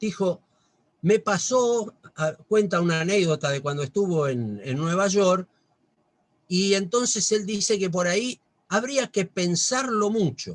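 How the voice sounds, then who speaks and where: Lively intonation marks this man's high-pitched voice. His pace is fairly slow. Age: 60s. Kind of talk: religious talk. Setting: video call.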